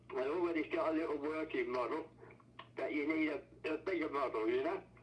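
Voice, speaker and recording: A man with an English accent talks at a moderate pace over noticeable background noise. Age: 80s+. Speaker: inventor's brother and researcher. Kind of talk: casual chat. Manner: halting.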